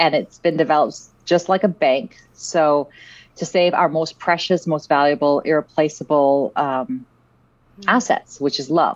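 A woman's unremarkable speaking voice, fairly low in pitch, at a moderate pace. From Vancouver, Canada (born in South Africa). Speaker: app founder and CEO. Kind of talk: podcast interview.

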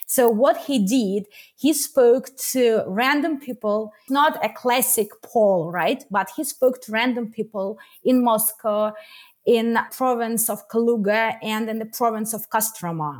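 A woman with a Russian accent speaks at a fairly slow pace and a fairly high pitch with ordinary pitch variation. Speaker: activist and journalist. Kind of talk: interview discussion. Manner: halting.

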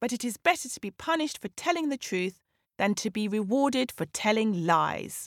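Lively intonation in an unforced reading voice, set against a quiet background

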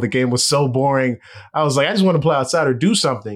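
A man with an American accent has a normal speaking voice and ordinary pitch variation at a fairly quick pace. The recording is very clean, with a silent background. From Los Angeles, US West Coast. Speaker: baseball reporter. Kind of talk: casual interview.

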